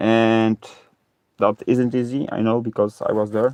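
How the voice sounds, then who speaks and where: Speaking at a fairly slow pace, a man with a fairly low pitch keeps a fairly even intonation in a dry, close sound with no echo. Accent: Polish. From Poland. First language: Polish. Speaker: live streamer and ocarina player. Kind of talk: casual live stream chat. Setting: reworked garage, live stream from laptop. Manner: halting, many fillers. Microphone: low stream quality from old laptop.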